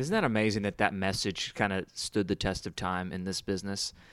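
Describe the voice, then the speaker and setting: A man with an American accent and a fairly low pitch talks at a moderate pace in an ordinary speaking voice, recorded very cleanly against a silent background. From Houston, Texas. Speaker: podcast host. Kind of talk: casual interview.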